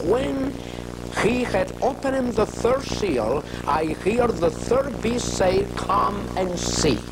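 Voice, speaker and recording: Against loud background noise, a man speaks at a very slow pace. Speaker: religious teacher. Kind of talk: sermon. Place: studio. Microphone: lapel.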